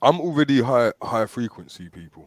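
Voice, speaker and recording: At a moderate pace, a man speaks with ordinary pitch variation. The recording is very clean with a silent background, and the sound is dry and close with no echo. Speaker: talk show host. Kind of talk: casual chat. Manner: hesitant, repetitive fillers.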